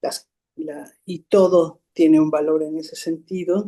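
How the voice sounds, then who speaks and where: A woman's fairly low-pitched voice with a dark, mellow tone, ordinary pitch variation and a very slow pace. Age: 60s. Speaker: psychotherapist. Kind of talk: interview. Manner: halting.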